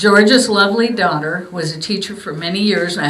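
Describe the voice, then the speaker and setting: A woman at a medium pitch, with audible room echo and noticeable background noise. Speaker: museum volunteer presenting gifts to veterans. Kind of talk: short ceremony address. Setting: memorial museum event with audience. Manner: informal, hesitant; soft-spoken.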